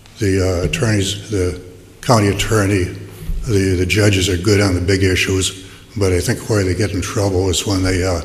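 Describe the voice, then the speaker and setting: A man with a very deep, low pitch speaks at a moderate pace in a monotone, flat intonation. Audible room echo and noticeable background noise surround him. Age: 70s. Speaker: public commenter at city council. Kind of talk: public comment at hearing. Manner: halting, many repetitions and fillers.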